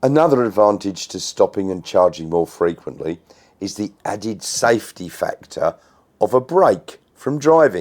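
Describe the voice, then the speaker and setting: With an Australian accent, a man speaks at a moderate pace in a fairly low pitch that moves in very wide swings. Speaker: electric car YouTuber. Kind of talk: casual talk to camera.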